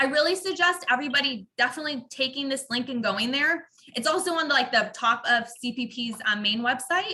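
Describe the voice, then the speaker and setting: Through noticeable background noise, a woman projects a raised, high voice with lively intonation at a fairly quick pace and hardly any pauses. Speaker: university staff presenter. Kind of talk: online orientation presentation. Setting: video call. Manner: fast.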